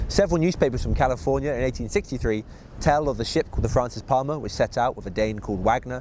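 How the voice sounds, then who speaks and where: Talking at a very fast pace, a man with a West Country accent uses lively intonation at a medium pitch. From Bristol, England. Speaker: TV presenter. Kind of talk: local history storytelling.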